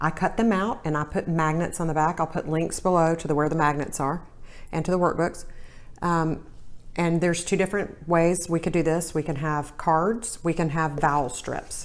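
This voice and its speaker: Here is a woman with a Southern US accent and a fairly low pitch. She talks at a moderate pace with fairly even intonation. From US South. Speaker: reading tutor. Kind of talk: tutorial.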